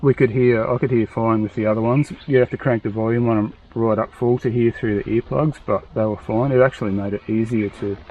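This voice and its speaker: Fairly quick speech from a man at medium pitch, fairly even in intonation and with hardly any pauses, over noticeable background noise. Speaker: motorcycle enduro vlogger. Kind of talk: casual product review chat. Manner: mumbling, quiet talker.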